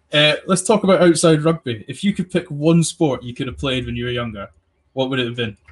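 With lively intonation and a somewhat breathy sound, a man speaks fairly quickly. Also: fairly high pitch for a man. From England. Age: 20s. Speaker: podcast host. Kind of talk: casual chat.

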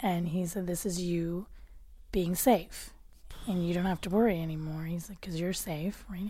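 The voice is somewhat breathy with a dark, mellow tone. It moves at a moderate pace with fairly even intonation. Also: woman, fairly low pitch for a woman. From Canada, Nova Scotia (Cole Harbour). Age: 30s. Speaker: podcast guest. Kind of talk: casual chat.

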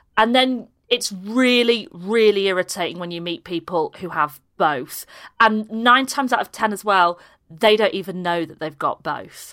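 A woman with a Yorkshire accent talks at a moderate pace and medium pitch, with a bright, sharp tone and lively intonation. Her loudness swings widely, and the recording is very clean with a silent background. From Yorkshire, Harrogate area. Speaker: comedian. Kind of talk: casual chat, comic interview.

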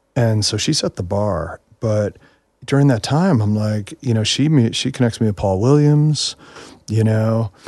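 At a moderate pace, a man with an American accent talks at medium pitch with ordinary pitch variation. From New York. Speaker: songwriter and producer. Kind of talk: casual chat. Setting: studio. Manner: animated.

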